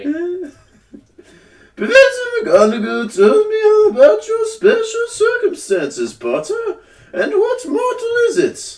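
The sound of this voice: A squeaky, put-on character voice from a man, extremely high in pitch, at a fairly slow pace. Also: hardly any pauses.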